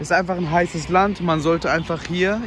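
This man's voice comes with noticeable background noise behind it. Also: dry sound with no echo. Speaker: travel vlogger. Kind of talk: casual vlog chat. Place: street. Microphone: phone near.

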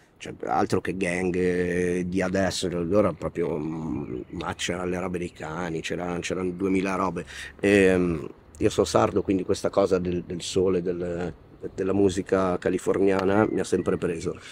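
Delivered at a fairly slow pace, the speech has monotone, flat intonation and a dry sound with no echo. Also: man, very deep, low pitch for a man. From Italy. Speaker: rapper; interviewee. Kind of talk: interview. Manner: halting. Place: street.

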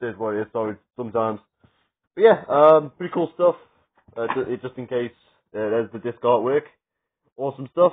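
The speech moves at a fairly quick pace yet has long, frequent pauses. Pitch varies in an ordinary way over a quiet background. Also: man, medium pitch for a man, big swings in loudness. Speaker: wrestling media collector vlogger. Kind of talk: casual vlog. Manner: fast; loud. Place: home room. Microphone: phone near.

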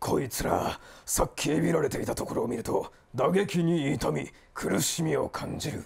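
Raspy and put-on, a man performs a character voice. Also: fairly high pitch for a man, moderate pace. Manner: rough, shouting.

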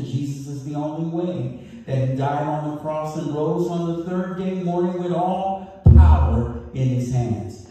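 A man speaks at a fairly slow pace with ordinary pitch variation. Strong room echo fills the recording. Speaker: pastor. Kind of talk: sermon. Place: church.

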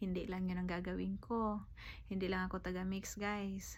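The voice belongs to a woman. The room around her adds a noticeable echo. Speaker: vlogger. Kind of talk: casual vlog talk.

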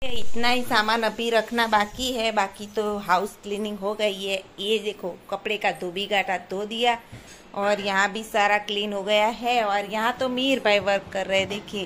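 Light background noise sits behind a woman's voice. She talks at a fairly slow pace with monotone, flat intonation. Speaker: family vlogger. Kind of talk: casual vlog chat. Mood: cheerful. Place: home room. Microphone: phone near.

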